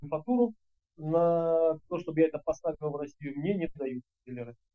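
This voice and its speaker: A man's fairly high voice at a moderate pace, ordinary pitch variation, and a quiet background. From Kuban, southern Russia. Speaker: agricultural parts business owner; interviewee. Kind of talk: interview. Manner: halting, many fillers. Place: office. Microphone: video call.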